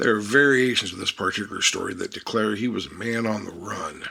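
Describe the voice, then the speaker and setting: A man adopts a put-on, raspy character voice, talking at a medium pitch and an unhurried, moderate pace. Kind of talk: tall-tale storytelling. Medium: read story. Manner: dry, wry, unhurried.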